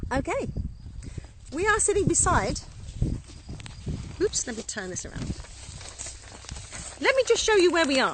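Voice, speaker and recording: An extremely high-pitched woman at a moderate pace, with very wide pitch swings, big swings in loudness, long, frequent pauses and noticeable background noise. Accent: English. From England. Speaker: winery co-owner. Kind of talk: casual vineyard tour. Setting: outdoors. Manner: relaxed, conversational with fillers.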